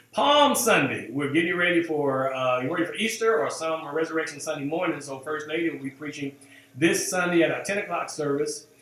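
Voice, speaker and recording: A man with a fairly high pitch speaks fairly quickly while noticeable background noise plays behind him. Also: ordinary pitch variation. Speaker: pastor. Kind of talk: church announcements to online viewers. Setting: live stream. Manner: halting, many fillers.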